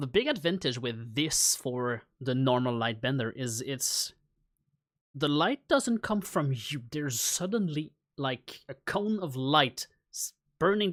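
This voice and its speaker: In a very clean recording with a silent background, a man with a non-native accent speaks at a fairly high pitch with lively intonation. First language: not English. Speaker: game master streaming homebrew design. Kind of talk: live stream think-aloud while writing. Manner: halting, many fillers.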